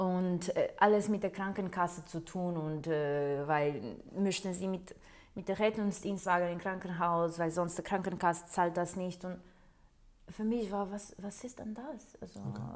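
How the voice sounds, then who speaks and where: A woman speaks at a fairly slow pace with a Portuguese accent. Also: medium pitch for a woman, ordinary pitch variation. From Portugal. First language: Portuguese (speaking German). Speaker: nurse. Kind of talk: interview. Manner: hesitant, with many fillers.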